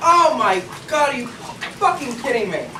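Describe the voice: A put-on character voice moves at a fairly slow pace with big pitch swings and a bright, sharp tone. Faint background noise sits behind it.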